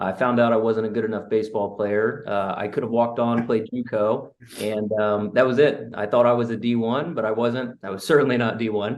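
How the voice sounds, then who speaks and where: This man has a plain, everyday voice at a medium pitch. He talks at a fairly quick pace with fairly even intonation and hardly any pauses. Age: 20s. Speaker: real estate investor. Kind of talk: interview.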